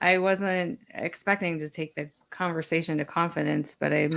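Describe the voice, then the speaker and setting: A woman with a normal speaking voice talks at a moderate pace. Her pitch is fairly low, with ordinary variation. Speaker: manufacturing project manager, guest. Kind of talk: live panel conversation.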